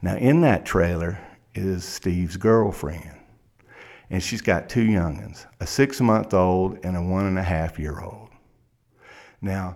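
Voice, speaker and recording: In a dramatic tone, a man with an American accent and a very deep, low pitch speaks at a fairly slow pace. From South Carolina. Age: 50s. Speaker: criminal defense lawyer. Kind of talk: courtroom oratory: a story told as if to a judge at sentencing. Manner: vivid, dramatic storyteller, building suspense with repetition.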